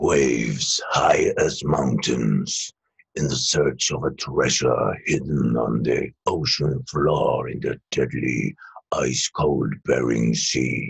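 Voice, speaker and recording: Putting on a raspy character voice, a man speaks at a very slow pace. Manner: dramatic, gravelly.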